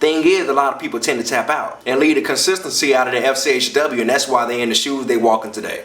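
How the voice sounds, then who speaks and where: A man speaks at a very fast pace with very wide pitch swings. Noticeable background noise sits behind him. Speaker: comedian and spoken word performer. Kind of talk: motivational talk to camera.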